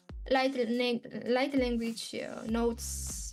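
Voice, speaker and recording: Fairly even intonation with music in the background. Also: woman. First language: not English. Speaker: spiritual channeler. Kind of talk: casual talk to camera. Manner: hesitant, with pauses.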